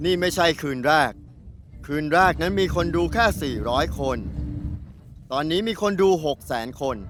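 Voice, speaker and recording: A man speaks with lively intonation at a fairly high pitch. Music plays in the background. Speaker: voice actor, dubbing the documentary's interviewee. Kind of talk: documentary interview answer, dubbed.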